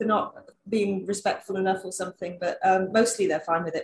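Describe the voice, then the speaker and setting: A woman with a London accent, a medium pitch, a very fast pace and fairly even intonation. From London, England. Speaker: travel blogger. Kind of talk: casual interview chat.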